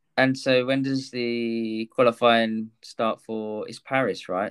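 With an English accent, a man speaks at a medium pitch and a fairly slow pace, his intonation fairly even. His loudness swings widely, and there are hardly any pauses. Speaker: podcast host. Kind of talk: casual interview.

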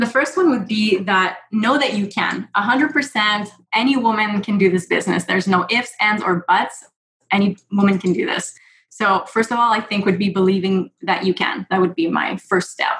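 This woman talks at a moderate pace with a Quebec accent. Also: medium pitch for a woman, ordinary pitch variation. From Quebec, Montreal. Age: 30s. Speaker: real estate investor and nurse. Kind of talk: interview.

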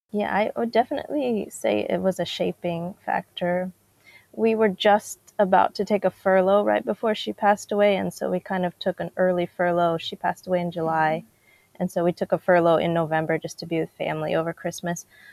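In an American accent, an ordinary speaking voice moves at a fairly quick pace with ordinary pitch variation, on a very clean recording with a silent background and a dry, close sound with no echo. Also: woman, medium pitch for a woman. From DR Congo and US. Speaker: missionary and author. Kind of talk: interview testimony.

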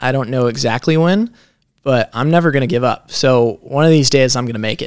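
A man with a normal speaking voice talks at a fairly quick pace, his medium pitch rising and falling in an ordinary way. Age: 20s. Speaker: young entrepreneur. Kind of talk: podcast interview. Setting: in Las Vegas.

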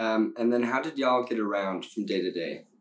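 A man speaks in an ordinary speaking voice, his pitch fairly low. The intonation stays fairly even at a moderate pace. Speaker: podcast host. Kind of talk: casual interview chat.

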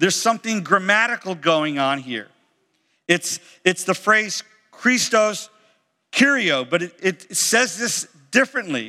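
A man's raised, projected voice with an American accent, high-pitched, bright and sharp in tone, swinging very widely in pitch at a fairly slow pace with long, frequent pauses. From Florida. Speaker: pastor. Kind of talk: sermon. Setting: church.

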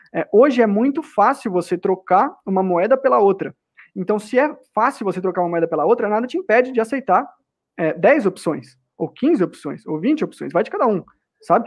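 This man's voice is high-pitched. He uses lively intonation. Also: moderate pace. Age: 30s. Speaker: cryptocurrency advocate. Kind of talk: casual debate.

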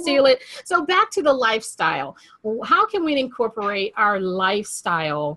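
Raised and projected, a woman's bright, sharp voice moves at a moderate pace through very wide pitch swings. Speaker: podcast host. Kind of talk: casual interview chat.

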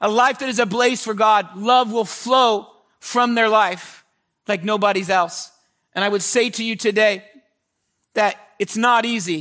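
A man's raised, projected voice, high in pitch and animated in tone, at a fairly slow pace with long, frequent pauses. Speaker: pastor. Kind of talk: sermon.

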